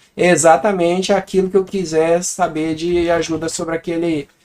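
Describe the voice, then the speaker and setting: At a moderate pace, a man with a Brazilian accent speaks in a high pitch with fairly even intonation. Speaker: programming teacher. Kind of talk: tutorial. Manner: casual.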